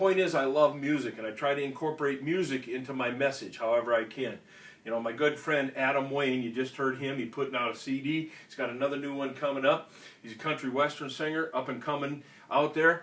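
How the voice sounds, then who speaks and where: A man with a fairly high pitch talks at a fairly quick pace. His intonation stays fairly even amid noticeable background noise. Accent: Minnesota. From Minnesota (Austin). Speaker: veterans organization state official, Marine veteran. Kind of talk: instructional talk. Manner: casual, conversational.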